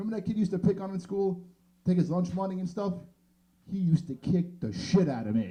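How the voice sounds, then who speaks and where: Talking at a very fast pace with a New York accent, a man uses a high pitch, ordinary pitch variation and a dark, mellow tone. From New York City (Queens). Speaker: stand-up comedian. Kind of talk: stand-up. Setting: stage with audience.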